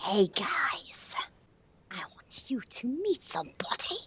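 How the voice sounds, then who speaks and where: A woman whispering in a put-on character voice at a fairly slow pace. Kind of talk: comic impression. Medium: game stream.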